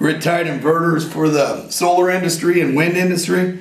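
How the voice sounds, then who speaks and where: Through audible room echo and noticeable background noise, a man speaks with a fairly high pitch. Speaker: inventor and war veteran. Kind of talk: interview. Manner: animated.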